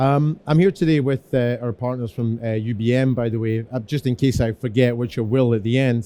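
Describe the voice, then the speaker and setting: A man with a Scottish accent speaks at a fairly quick pace in a medium-pitched, dark, mellow voice, keeping his intonation fairly even and hardly pausing at all. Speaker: security engineer. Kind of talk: conference presentation. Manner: fast.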